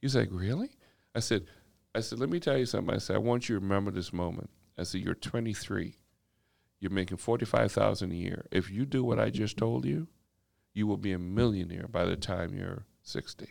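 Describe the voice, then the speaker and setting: A man with a normal speaking voice talks at a fairly quick pace with lively intonation. The recording is very clean, with a silent background. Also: fairly low pitch for a man. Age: 50s. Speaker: corporate executive and community equity advocate. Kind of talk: casual podcast interview.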